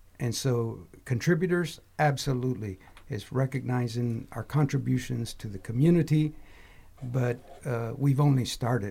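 Somewhat breathy and dark, mellow in tone, a man with an American accent speaks at a fairly slow pace with medium pitch and ordinary pitch variation. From Texas. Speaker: university program director. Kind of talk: panel discussion.

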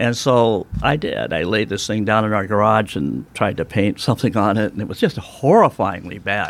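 This man has an American accent and a fairly low voice with vocal fry, talking at a moderate pace with ordinary pitch variation and hardly any pauses. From United States. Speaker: artist. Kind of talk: interview. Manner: casual, chatty.

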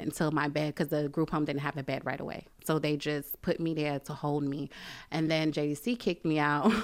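In a very clean recording with a silent background, a woman with a New York accent speaks fairly quickly at a very deep, low pitch, with fairly even intonation. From Brooklyn, New York. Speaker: church member and mother. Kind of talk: testimony.

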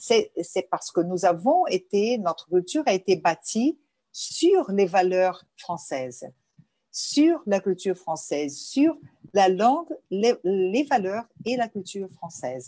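In a Portuguese accent, a woman speaks at a very slow pace and medium pitch, her voice dark and mellow with very wide pitch swings. The sound is dry and close with no echo, over a quiet background. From Brazil, Rio de Janeiro, Lebanese family. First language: Portuguese (speaking French). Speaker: journalist and cultural association president. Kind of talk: interview. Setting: remote interview from home.

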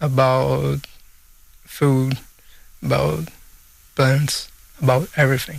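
A man with a Portuguese accent. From Brazil. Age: 30s. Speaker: photographer and filmmaker. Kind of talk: radio panel discussion. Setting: studio.

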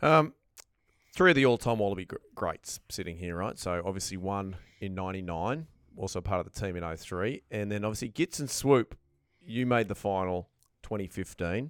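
Recorded very cleanly over a silent background, in a dry, close sound with no echo, a man with an Australian accent speaks at a moderate pace and fairly low pitch with ordinary pitch variation. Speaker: podcast host. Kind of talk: casual banter. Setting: studio.

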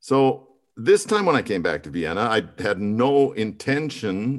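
Using a plain, everyday voice, a man talks at a fairly slow pace with lively intonation. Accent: American. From Montana, US. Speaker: musical theater performer. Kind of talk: interview.

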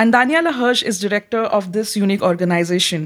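On a very clean recording with a silent background, a woman talks very fast at a fairly high pitch with ordinary pitch variation. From India. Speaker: PhD researcher and podcast co-host. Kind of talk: interview. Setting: studio.

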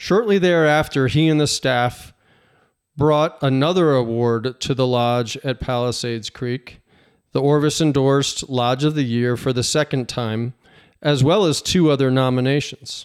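This man has a plain, everyday voice at medium pitch with ordinary pitch variation. He speaks at a fairly slow pace in a very clean recording with a silent background. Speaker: podcast host and professional fisherman. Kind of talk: casual interview.

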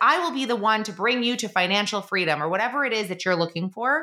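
A woman with an American accent, a bright, sharp tone, medium pitch and very wide pitch swings. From New York, Long Island. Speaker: podcast host, online business coach. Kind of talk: casual monologue.

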